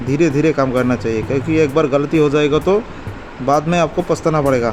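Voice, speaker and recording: Over music in the background, a man speaks in a fairly high voice with ordinary pitch variation. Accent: non-native. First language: not Hindi (speaking Hindi). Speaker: electronics repair technician. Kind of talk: repair tutorial; casual talk to viewers.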